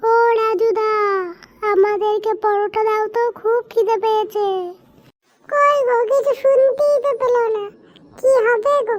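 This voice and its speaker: A woman uses a cartoonish character voice with an extremely high pitch. She speaks at a fairly slow pace. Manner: eager, chatty.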